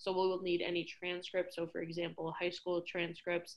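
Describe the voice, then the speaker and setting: The intonation is monotone and flat, delivered with an American accent. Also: woman. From New York City. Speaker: college staff member. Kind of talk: presentation. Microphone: video call.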